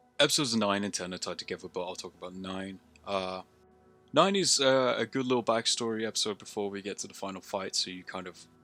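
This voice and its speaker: A man rushes along at a very fast pace, his fairly low voice varying in pitch by an ordinary amount. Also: big swings in loudness. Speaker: amateur filmmaker reviewing own work. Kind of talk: solo video review commentary. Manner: casual, with many fillers.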